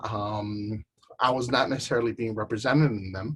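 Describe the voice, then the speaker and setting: A somewhat breathy man at a moderate pace. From Chicago, grew up partly in Southern California and Jalisco. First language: Spanish. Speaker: artist and arts educator. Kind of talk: panel talk presentation. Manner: hesitant, many filler words.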